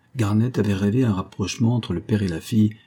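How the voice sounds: The voice heard here is a natural reading voice.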